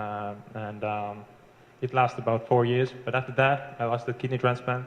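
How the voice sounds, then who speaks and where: A man talks at a moderate pace with a medium pitch and a monotone, flat intonation. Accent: Estonian. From Estonia. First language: Estonian. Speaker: internet marketer. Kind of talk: testimony. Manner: halting.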